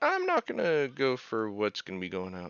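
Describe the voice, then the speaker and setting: A man with an American accent speaks in a fairly low pitch. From California. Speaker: video game streamer. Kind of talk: casual live-stream chat.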